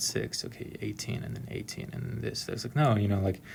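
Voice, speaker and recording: A man with an American accent talks at a very fast pace. His pitch is fairly low, with vocal fry. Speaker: software engineer explaining exam questions. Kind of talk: tutorial. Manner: monotone; hesitant, many fillers.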